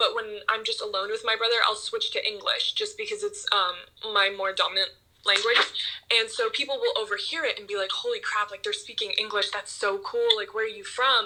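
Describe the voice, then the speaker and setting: A woman with an American accent speaks at a fairly quick pace over noticeable background noise. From New Jersey, US. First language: German. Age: young. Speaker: model and influencer. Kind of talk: casual interview chat.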